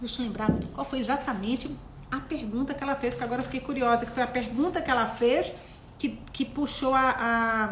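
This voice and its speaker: With a high pitch and fairly even intonation, a woman speaks at a moderate pace amid noticeable background noise and audible room echo. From Minas Gerais, Brazil, near Bahia. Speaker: book club host. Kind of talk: casual chat, live book discussion. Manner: conversational, hesitant with repetitions.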